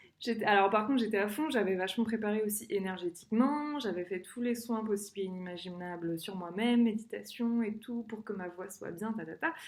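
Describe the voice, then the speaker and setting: A woman speaks at a fairly quick pace with hardly any pauses, her fairly high pitch showing ordinary variation. Noticeable background noise sits behind her. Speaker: singer sharing personal experience. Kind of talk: personal vlog monologue. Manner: fast; hesitant, many fillers.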